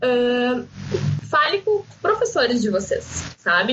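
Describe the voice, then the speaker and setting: A woman speaks in a high voice. There is noticeable background noise. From southern Brazil, Rio Grande do Sul coast. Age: 20s. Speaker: marketing student and pharmacy worker. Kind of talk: casual podcast interview. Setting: remote recording.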